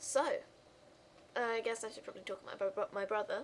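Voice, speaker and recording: A woman with fairly even intonation. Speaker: YouTuber. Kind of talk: casual chat. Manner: fast.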